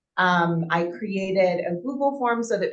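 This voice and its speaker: This is a woman's voice. Her pitch is medium. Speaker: town board member. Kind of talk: public meeting report. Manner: loud; casual with many fillers.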